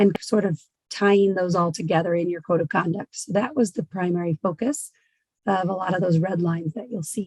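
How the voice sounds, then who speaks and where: In a dry, close sound with no echo, a woman with a medium pitch and a somewhat breathy voice speaks at a fairly quick pace, her pitch varying in an ordinary way. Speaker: governance consultant. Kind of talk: board meeting discussion.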